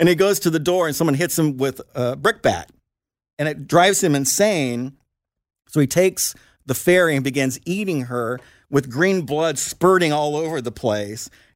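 A man with an American accent talks in a plain, everyday voice, pitched fairly high with lively intonation. The recording is very clean, with a silent background. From Indiana, US Midwest. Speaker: author and comedy writer. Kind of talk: casual chat.

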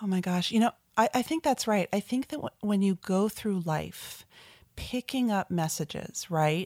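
In an American accent, a normal speaking voice moves at a moderate pace with lively intonation, recorded dry and close with no echo against a very clean, silent background. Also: woman, medium pitch for a woman. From New Jersey, New York metro area. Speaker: author and marketing agency founder. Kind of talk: interview.

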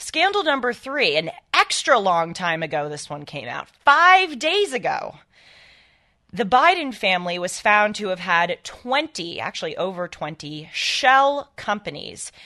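A woman at medium pitch speaks at a fairly slow pace, her pitch swinging very widely. Her bright, sharp tone comes with big swings in loudness. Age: 20s. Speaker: guest radio host and political commentator. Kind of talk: talk radio monologue.

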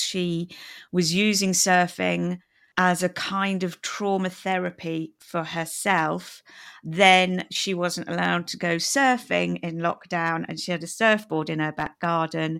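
In a very clean recording with a silent background, the speaker uses a British accent, a fairly slow pace and fairly even intonation. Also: woman. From England. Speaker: podcast host.

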